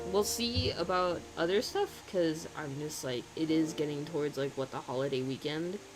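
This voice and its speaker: The speech moves at a moderate pace with hardly any pauses and ordinary pitch variation. Noticeable background noise runs underneath. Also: man, fairly high pitch for a man. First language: German. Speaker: streaming artist. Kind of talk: casual chat. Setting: live stream. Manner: animated.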